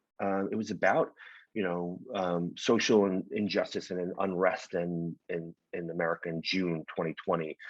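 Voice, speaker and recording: A man with a New York accent speaks in a very deep, low voice against a quiet background. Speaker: winemaker. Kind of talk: casual interview chat. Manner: fast.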